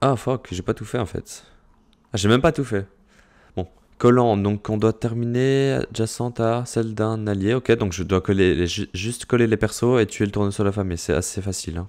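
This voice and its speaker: The recording is very clean against a silent background. Speech proceeds at a moderate pace. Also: man, fairly low pitch for a man, ordinary pitch variation. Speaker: gaming YouTuber and streamer. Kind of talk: gameplay tutorial commentary. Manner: loud; clear articulation.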